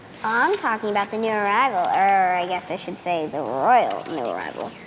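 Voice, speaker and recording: A female-sounding, put-on character voice sits at a medium pitch and moves at a moderate pace. Clear background noise runs underneath. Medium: stage play. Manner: sassy, sly.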